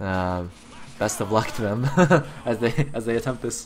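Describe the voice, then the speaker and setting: Fairly even intonation from a man at a medium pitch. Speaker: esports shoutcaster. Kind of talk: live commentary. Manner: fast.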